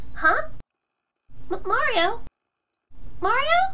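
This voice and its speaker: A woman puts on a cartoonish character voice. Her pitch is extremely high. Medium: puppet. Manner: friendly, upbeat.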